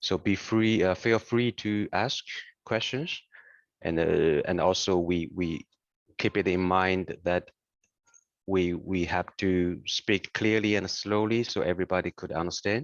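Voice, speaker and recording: A man's very deep, low pitch with a non-native accent, ordinary pitch variation, and a fairly slow pace. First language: not English. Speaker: software application specialist. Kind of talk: webinar presentation. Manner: deliberately slow; halting, many fillers.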